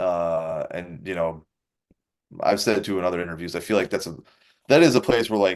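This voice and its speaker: A man with a Wisconsin accent, a fairly quick pace and lively intonation, against a quiet background. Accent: Wisconsin, noticeable on some words. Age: 30s. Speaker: professional MMA fighter. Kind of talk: interview. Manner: casual, uses fillers.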